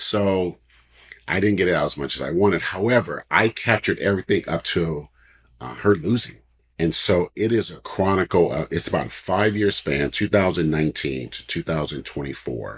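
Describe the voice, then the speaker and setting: Very deep and low, this man's voice carries vocal fry and ordinary pitch variation. He speaks at a moderate pace on a very clean recording with a silent background. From US West Coast, Oakland, California. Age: 60s. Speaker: author and publisher. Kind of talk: interview chat.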